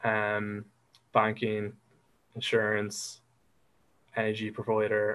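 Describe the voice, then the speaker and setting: A man with an Irish accent, medium pitch and a fairly slow pace, in a very clean recording with a silent background. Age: 20s. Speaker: digital marketer. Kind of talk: interview answer. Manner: hesitant, unassuming.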